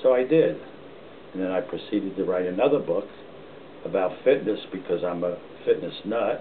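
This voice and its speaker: A man speaks with an American accent at a moderate pace. His long, frequent pauses sit over noticeable background noise. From northern New Jersey (Montclair). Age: 80s+. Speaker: retired policeman and author. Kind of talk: casual family interview.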